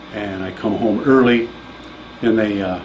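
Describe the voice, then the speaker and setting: With noticeable background noise and audible room echo, the voice moves along at a moderate pace. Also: man. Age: 50s. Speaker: patient giving testimonial. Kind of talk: testimony.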